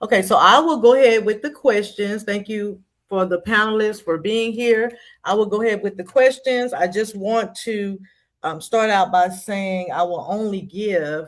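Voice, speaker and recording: A woman speaks with a Texas accent at a medium pitch. Her pace is moderate, and the background is quiet. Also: ordinary pitch variation. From Texas, Dallas. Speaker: moderator. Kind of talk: virtual town hall moderation. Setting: video call.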